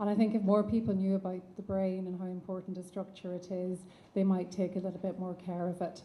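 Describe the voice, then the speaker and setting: Somewhat breathy, a woman speaks at a fairly quick pace and medium pitch in a dark, mellow tone. Her intonation is monotone and flat, with audible room echo. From Ireland. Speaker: neuropsychiatrist. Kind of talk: conference lecture. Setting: conference stage with audience and online attendees.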